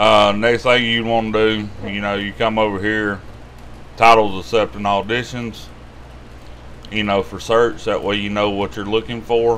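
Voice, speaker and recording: A man speaks with a Southern US accent at a fairly low pitch and a moderate pace. His intonation is monotone and flat, with light background noise behind him. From US South. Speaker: YouTube money-tips host. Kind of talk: tutorial. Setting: screen-share video. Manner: casual, rambling. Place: home room. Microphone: webcam.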